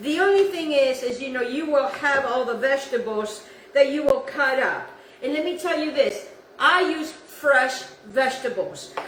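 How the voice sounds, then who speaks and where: Amid noticeable background noise and audible room echo, a woman talks at a moderate pace in a high pitch with ordinary pitch variation. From South America. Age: 60s. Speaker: cooking channel host. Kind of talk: cooking tutorial. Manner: casual, halting with repetitions.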